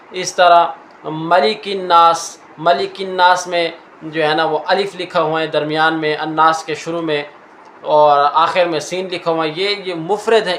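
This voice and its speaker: Over noticeable background noise, a man speaks at a high pitch in a monotone, flat intonation. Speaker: Quran teacher and reciter (qari). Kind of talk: Urdu teaching lecture to an audience. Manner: clear, explanatory teaching pace.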